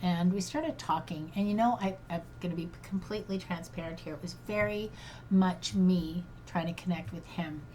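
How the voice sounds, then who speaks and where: A woman speaks with a dark, mellow tone. Her voice is somewhat breathy. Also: fairly low pitch for a woman, ordinary pitch variation, moderate pace. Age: 60s. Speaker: grief coach. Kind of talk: personal monologue podcast. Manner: halting.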